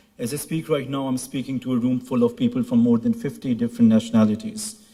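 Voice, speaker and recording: A man with a Pashto accent speaks very fast in a medium-pitched voice with a dark, mellow tone. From Pakistan. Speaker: graduating student. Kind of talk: ceremony speech. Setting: stage with audience.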